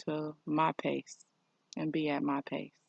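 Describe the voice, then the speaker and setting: In a dry, close sound with no echo, a woman speaks at a very slow pace. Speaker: spiritual vlogger. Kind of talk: personal vlog monologue. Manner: halting.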